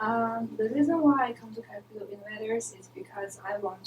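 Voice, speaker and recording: Noticeable background noise accompanies a speaker with a Chinese accent. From China. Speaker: MBA student intern, podcast co-host. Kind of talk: casual podcast chat.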